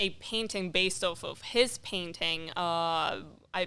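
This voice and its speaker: A woman speaks with a non-native accent. Her tone is bright and sharp. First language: not English. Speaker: amateur painter. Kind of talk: casual chat. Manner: halting.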